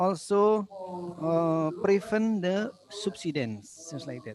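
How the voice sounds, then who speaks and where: With an Indonesian accent, a man speaks at a high pitch with lively intonation. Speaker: session moderator. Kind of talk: conference Q&A moderation. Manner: halting.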